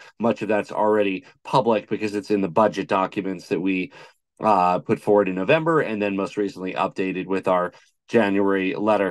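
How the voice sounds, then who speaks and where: Against a quiet background, a man talks at a very fast pace. His voice is fairly low in pitch. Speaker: guest. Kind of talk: interview answer. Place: home room. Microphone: video call.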